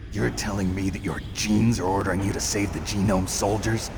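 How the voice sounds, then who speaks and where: Over loud background noise, a man does a cartoonish character voice at a fairly low pitch and a fairly quick pace. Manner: terse, dry.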